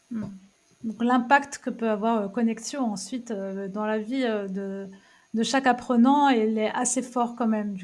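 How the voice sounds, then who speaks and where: A woman with a plain, everyday voice speaks at a fairly slow pace, her fairly high pitch carried on fairly even intonation. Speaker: podcast host. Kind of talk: interview questions.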